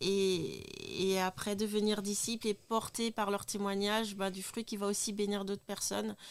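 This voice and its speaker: A woman talks at a fairly slow pace in a medium pitch, with hardly any pauses. Her intonation is monotone and flat. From Niger. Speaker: human resources staff member. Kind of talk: testimony.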